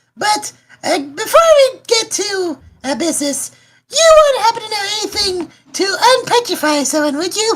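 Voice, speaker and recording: A woman's squeaky, put-on character voice at an extremely high pitch, with very wide pitch swings and a moderate pace. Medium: actual play. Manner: hesitant, halting.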